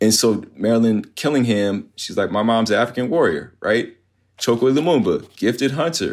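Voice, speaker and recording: A man with an American accent talks at a moderate pace, medium pitch and ordinary pitch variation. He has a plain, everyday voice, and the recording is very clean with a silent background. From Virginia, US (Virginia Beach). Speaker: history professor. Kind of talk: interview.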